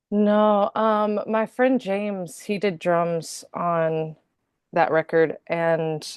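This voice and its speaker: Recorded with a dry, close sound with no echo against a quiet background, a woman speaks in a Southern US accent. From North Carolina. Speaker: singer-songwriter. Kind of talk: interview. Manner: casual, hesitant with fillers.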